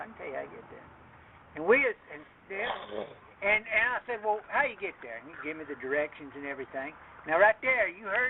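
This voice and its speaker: A man speaks very rapidly as clear noise sounds in the background. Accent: Appalachian. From Appalachia, USA. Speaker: retired Army Special Forces soldier. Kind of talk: casual storytelling.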